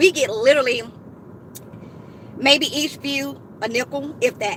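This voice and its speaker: A woman's raised, projected, high-pitched voice, animated in tone with lively intonation, over noticeable background noise. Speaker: couponing YouTuber. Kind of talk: live stream chat. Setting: in a car in a parking lot. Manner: loud.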